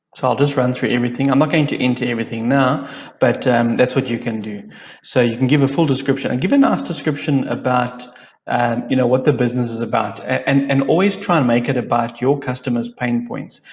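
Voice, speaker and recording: A man at medium pitch speaks very fast in a somewhat breathy voice. His intonation stays fairly even. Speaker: digital marketing trainer. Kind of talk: tutorial. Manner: monotone.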